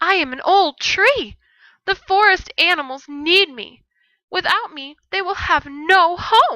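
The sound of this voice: Putting on a character voice, a woman speaks at an extremely high pitch. Her pace is fairly slow.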